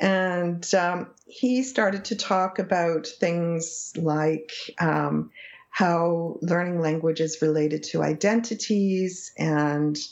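Very slowly and with hardly any pauses, a woman speaks in a fairly low voice. Her loudness stays very even, with ordinary pitch variation. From English Canada, small town. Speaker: psychology professor. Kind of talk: interview conversation.

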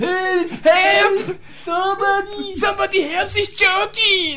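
In a put-on character voice with a non-native accent, someone shouts at an extremely high pitch and a fairly slow pace, with clear background noise. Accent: comically heavy foreign. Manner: screaming for help.

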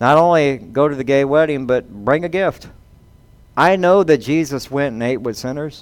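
With a Southern US accent and ordinary pitch variation, the voice comes through against a quiet background. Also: man. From US South. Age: 50s. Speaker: pastor. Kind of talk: sermon.

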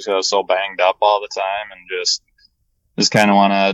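In a fairly low voice, a man talks with an American accent. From Minnesota. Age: 20s. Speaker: retired baseball player, college coach. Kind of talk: interview. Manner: halting.

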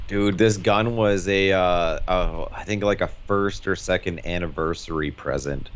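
This man has a fairly low pitch with ordinary pitch variation and an unremarkable speaking voice, talking at a fairly slow pace with hardly any pauses. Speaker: podcast guest. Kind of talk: casual chat.

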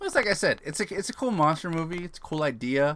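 An animated male voice with a bright, sharp tone. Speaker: podcast co-host. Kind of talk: casual chat. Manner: animated, jokey.

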